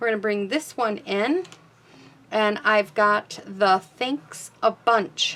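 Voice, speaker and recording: At a very slow pace, a woman speaks with fairly high pitch. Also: ordinary pitch variation. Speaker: card-making crafter and stamp demonstrator. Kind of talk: craft tutorial. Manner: casual, slightly halting.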